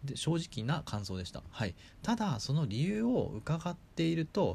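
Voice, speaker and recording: A man's somewhat breathy voice at a moderate pace, with very wide pitch swings, on a very clean recording over a silent background. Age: 30s. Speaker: podcast host, startup member. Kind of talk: solo podcast talk. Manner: many fillers.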